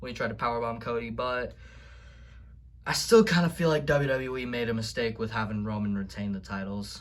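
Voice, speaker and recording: Audible room echo surrounds a man talking at a fairly quick pace. His pitch variation is ordinary. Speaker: wrestling video vlogger. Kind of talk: casual vlog recap. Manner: stuttering; animated.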